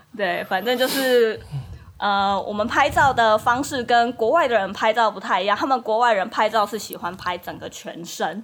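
A woman speaks in an ordinary speaking voice with ordinary pitch variation. The recording is very clean, with a silent background. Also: fairly high pitch for a woman, moderate pace. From Taiwan, Kaohsiung. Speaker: Taiwanese wife of a Dutch man. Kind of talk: casual chat.

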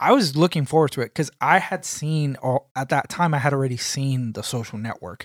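A plain, everyday voice speaks at a moderate pace. The sound is dry and close, with no echo. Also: man, very clean recording, silent background. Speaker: podcast co-host. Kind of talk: casual chat. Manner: joking.

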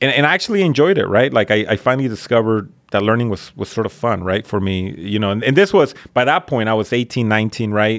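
A man with a Spanish accent speaks at a very fast pace with hardly any pauses. His medium pitch shows ordinary pitch variation. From Mexico (Colima), then Northern California labor camp. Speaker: high school principal. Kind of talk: casual chat. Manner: repetitive false starts, casual.

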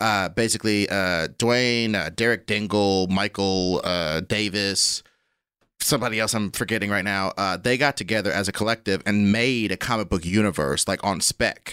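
A man with a normal speaking voice and an American accent, moderate pace, fairly even intonation and very even loudness, in a dry, close sound with no echo on a very clean recording with a silent background. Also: fairly low pitch for a man. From Kansas City, US Midwest. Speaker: comedian. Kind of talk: casual chat.

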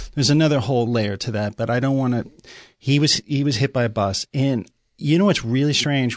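A man talks at a fairly quick pace and a medium pitch, with ordinary pitch variation, against a quiet background. He has a plain, everyday voice. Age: 50s. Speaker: podcast guest, artist. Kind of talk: casual chat.

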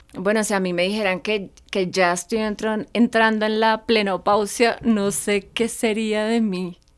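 A woman with a fairly high pitch speaks fairly slowly in a flat monotone, with hardly any pauses and music in the background. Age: 40s. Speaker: podcast co-host. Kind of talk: casual chat. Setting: recording studio.

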